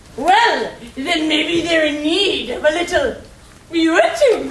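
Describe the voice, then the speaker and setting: In a put-on character voice, a woman speaks fairly slowly at an extremely high pitch with ordinary pitch variation and a slight echo. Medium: stage play. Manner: teasing.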